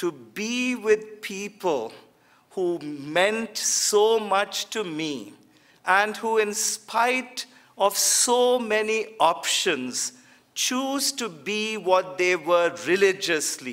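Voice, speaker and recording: A man speaks with a Kannada accent at a very slow pace, his high voice moving with lively intonation. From India, Bangalore. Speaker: theologian. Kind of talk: lecture.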